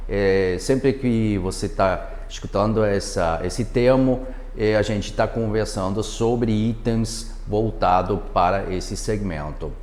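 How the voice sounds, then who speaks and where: With a non-native accent, a man talks at a very slow pace with hardly any pauses, over noticeable background noise and audible room echo. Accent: foreign accent in Portuguese. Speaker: product manager. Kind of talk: webinar presentation. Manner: halting, many fillers.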